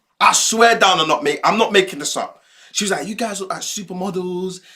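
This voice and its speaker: With an American accent, a man talks in a high pitch at a fairly quick pace, his tone animated and his voice raised and projected. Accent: British (London) accent, noticed in the US. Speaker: streamer. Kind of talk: casual storytelling livestream.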